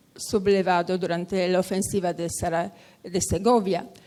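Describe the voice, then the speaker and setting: Fairly slow in pace, a woman speaks. Her intonation is fairly even. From Poland. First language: Polish and Italian (speaking Spanish). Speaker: lecturer on memorial sites. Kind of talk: conference talk. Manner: halting.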